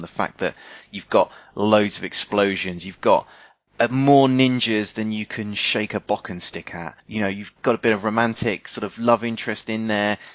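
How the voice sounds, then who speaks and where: A normal speaking voice from a man, moderately paced and fairly low-pitched. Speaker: podcast host. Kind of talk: casual chat, podcast banter.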